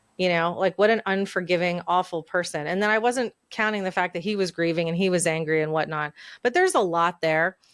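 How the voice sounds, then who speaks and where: Speaking in an ordinary speaking voice, a woman with a fairly low pitch and fairly even intonation moves at a fairly quick pace with hardly any pauses, the sound dry and close with no echo on a very clean recording with a silent background. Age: 40s. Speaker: podcast host. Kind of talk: casual chat.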